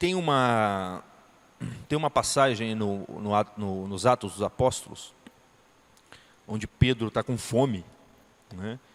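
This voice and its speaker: The speaker talks at a very slow pace with long, frequent pauses and ordinary pitch variation, in a dry, close sound with no echo. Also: man, fairly low pitch for a man. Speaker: teacher. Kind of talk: lecture.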